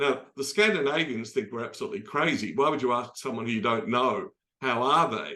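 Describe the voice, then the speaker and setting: A man's medium-pitched, bright, sharp voice with an Australian accent. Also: lively intonation, fairly quick pace. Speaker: optimism expert and speaker. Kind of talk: talk in an online dialogue. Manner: conversational, many fillers.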